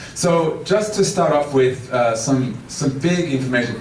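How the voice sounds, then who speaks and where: A man's medium-pitched voice moves in very wide pitch swings. Noticeable background noise and audible room echo are present. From Australia, Melbourne. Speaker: transportation consultant. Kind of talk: public talk.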